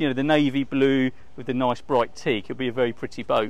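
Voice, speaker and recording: A man at a fairly quick pace, with a dry sound and no echo. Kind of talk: walkthrough tour commentary. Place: waterside. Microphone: lapel.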